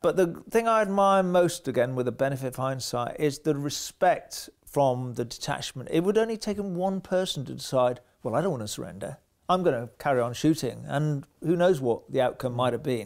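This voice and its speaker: In a very clean recording with a silent background, a man has an ordinary speaking voice, fairly high in pitch. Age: 60s. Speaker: war veteran. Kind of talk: interview testimony.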